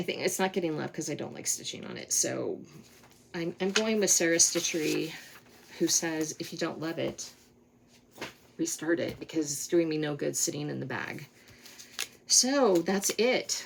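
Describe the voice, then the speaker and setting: Amid noticeable background noise, a woman with an American accent and a fairly low pitch speaks at a moderate pace, with ordinary pitch variation and long, frequent pauses. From Colorado, US. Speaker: cross-stitch vlogger. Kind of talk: casual monologue, craft vlog.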